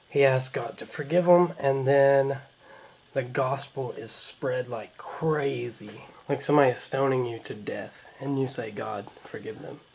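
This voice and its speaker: Using a normal speaking voice of medium pitch, a man talks at a fairly slow pace with fairly even intonation and big swings in loudness. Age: 20s. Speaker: vlogger with cystic fibrosis. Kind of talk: casual vlog.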